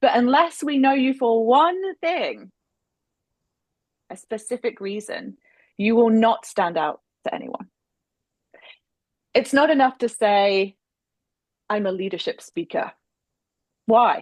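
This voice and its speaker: A woman's high voice in an English accent, with lively intonation, a fairly slow pace and long, frequent pauses. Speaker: speaker coach. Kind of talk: webinar presentation.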